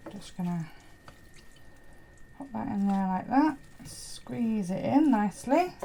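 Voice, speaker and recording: A woman speaks very slowly at a medium pitch, with long, frequent pauses and very wide pitch swings. Her loudness swings widely over noticeable background noise. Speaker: homesteading vlogger. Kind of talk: tutorial. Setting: home kitchen. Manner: casual and chatty.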